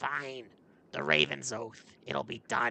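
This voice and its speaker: A man puts on a growling character voice at a medium pitch. He speaks at a very slow pace. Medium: read story. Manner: gruff, curt.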